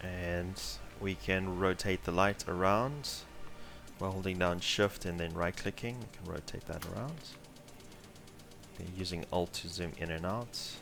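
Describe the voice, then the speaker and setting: Music plays behind a man with a very deep, low pitch and ordinary pitch variation. He talks at a fairly slow pace with long, frequent pauses. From South Africa. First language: Afrikaans. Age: 20s. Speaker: 3D artist and tutorial instructor. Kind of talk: live tutorial. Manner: casual, many filler words.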